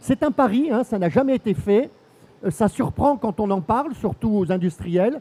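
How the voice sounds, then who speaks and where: This man's voice has a dark, mellow tone and a high pitch, with lively intonation. He talks at a moderate pace, and the sound is dry and close with no echo. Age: 60s. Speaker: senator. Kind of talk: panel discussion. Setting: stage with audience. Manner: hesitant, many fillers.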